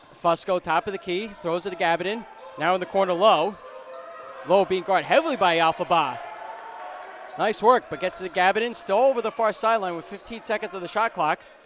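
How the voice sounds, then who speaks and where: Loud and high-pitched, a man speaks at a fairly quick pace with long, frequent pauses and ordinary pitch variation, over noticeable background noise. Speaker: play-by-play sports commentator. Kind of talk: live commentary. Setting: courtside broadcast with headset. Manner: fast.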